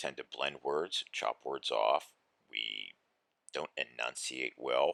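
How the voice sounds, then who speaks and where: With an American accent, a man speaks very slowly in a very deep, low voice with vocal fry and ordinary pitch variation. His loudness swings widely, and the sound is dry and close with no echo. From Western Pennsylvania, Pittsburgh. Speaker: teacher. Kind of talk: recorded lesson for students.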